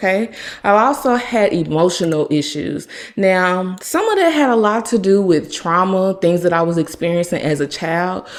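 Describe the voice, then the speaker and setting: A woman with an unremarkable speaking voice talks at a moderate pace, her pitch fairly low, with ordinary pitch variation. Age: 30s. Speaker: podcast host. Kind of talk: personal testimony.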